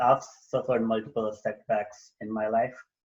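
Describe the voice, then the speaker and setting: This man has a somewhat breathy voice. He talks at a moderate pace. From India. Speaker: personal development coach and author. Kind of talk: podcast interview. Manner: halting, many fillers.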